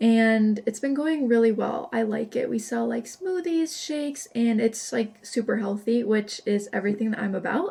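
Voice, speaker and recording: Noticeable background noise sits behind a woman with a fairly high voice and ordinary pitch variation. She keeps a moderate pace and hardly pauses. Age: 20s. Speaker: vlogger. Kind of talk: casual vlog talk. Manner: chatty.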